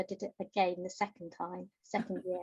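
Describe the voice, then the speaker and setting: Moderate pace and a somewhat breathy quality in a woman's voice. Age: 60s. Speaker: novelist. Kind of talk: interview.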